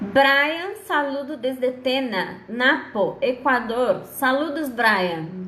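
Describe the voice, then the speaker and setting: A woman speaks at a very slow pace in a high voice with lively intonation. The room echo is audible. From Brazil. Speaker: law lecturer. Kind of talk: online lecture.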